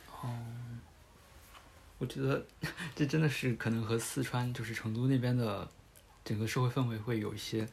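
Somewhat breathy and medium in pitch, a man speaks at a moderate pace with fairly even intonation. Long, frequent pauses break up his speech. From Hubei. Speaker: podcast host. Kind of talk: casual chat.

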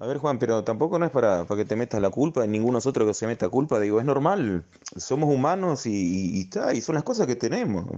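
With an Argentine accent, a man talks at a very fast pace in a dark, mellow tone, his medium pitch swinging very widely. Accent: Rioplatense Argentine Spanish. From Argentina. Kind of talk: casual chat.

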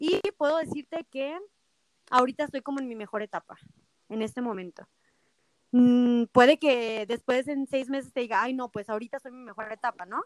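Recorded dry and close with no echo, a woman talks at a fairly quick pace in a high pitch, with ordinary pitch variation and big swings in loudness. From Mexico, Zacatecas. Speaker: microblading artist and salon owner. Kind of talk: interview.

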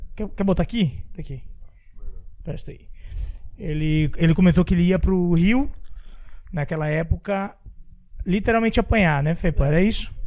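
Speaking at a moderate pace with ordinary pitch variation, a man with a high pitch leaves long, frequent pauses. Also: big swings in loudness. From Santa Catarina, Brazil. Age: 30s. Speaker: podcast host. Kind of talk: casual interview.

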